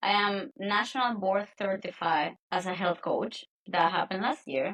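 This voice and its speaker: A woman speaks with a Spanish accent at a moderate pace. Her pitch is medium, with ordinary variation. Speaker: nutrition and health coach. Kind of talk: podcast interview.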